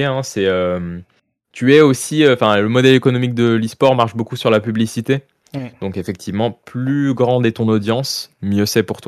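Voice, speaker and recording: In a very clean recording with a silent background, a man with a normal speaking voice talks at a medium pitch and moderate pace with ordinary pitch variation. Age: 20s. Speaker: professional esports player. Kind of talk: interview.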